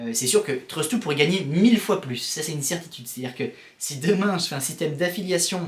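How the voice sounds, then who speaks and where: A man's very fast, animated delivery with lively intonation, over noticeable background noise. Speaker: vlogger and founder of a course-rating service. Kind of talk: casual vlog. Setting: self-recorded on camera. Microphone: built-in camera mic, poor sound.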